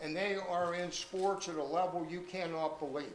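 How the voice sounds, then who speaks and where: Fairly even intonation amid noticeable background noise and audible room echo. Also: man. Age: 80s+. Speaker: retired teacher speaking at family reunion. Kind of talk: reunion speech.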